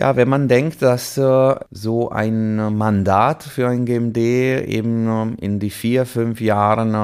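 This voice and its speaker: Very slow speech from a man with an Italian accent, ordinary pitch variation, on a very clean recording with a silent background. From Italy, Liguria (Chiavari). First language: Italian (speaking German). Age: 40s. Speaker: orchestra conductor. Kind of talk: casual interview. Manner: halting, many fillers.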